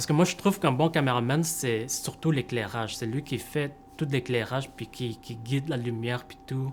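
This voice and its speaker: Over music in the background, a man talks at a medium pitch with ordinary pitch variation and big swings in loudness. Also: moderate pace. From Montreal, Quebec. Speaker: camera operator. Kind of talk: interview. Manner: hesitant, many fillers.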